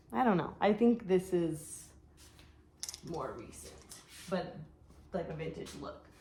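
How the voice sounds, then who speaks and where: A woman with a dark, mellow tone and a somewhat breathy quality talks fairly slowly, her pitch varying in an ordinary way. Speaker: online clothing reseller. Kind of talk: casual vlog haul. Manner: hesitant fillers.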